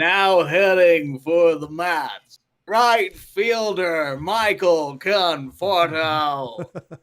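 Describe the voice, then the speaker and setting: A man uses a put-on character voice with a high pitch. He speaks at a very slow pace with hardly any pauses. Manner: announcer delivery.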